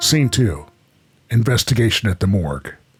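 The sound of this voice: A put-on character voice with a husky, rough edge and big pitch swings, over faint music in the background. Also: man, fairly low pitch for a man, moderate pace.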